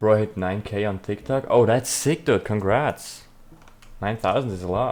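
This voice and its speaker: A man with a German accent speaks at a fairly low pitch. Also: ordinary pitch variation, moderate pace. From South Tyrol, northern Italy. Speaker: streamer, 3D artist. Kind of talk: live stream chat with viewers. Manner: casual, chatty.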